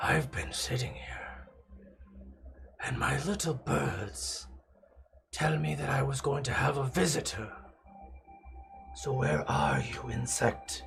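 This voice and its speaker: A man uses a raspy put-on character voice at a very deep, low pitch, at a fairly slow pace. Long, frequent pauses break his speech while faint music plays in the background. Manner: menacing, taunting.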